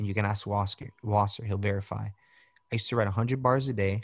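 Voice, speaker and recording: A man speaks at a fairly quick pace, somewhat breathy and fairly low-pitched, with fairly even intonation. The sound is dry and close with no echo, over a quiet background. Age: 30s. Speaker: rapper and filmmaker. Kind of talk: casual chat. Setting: video call.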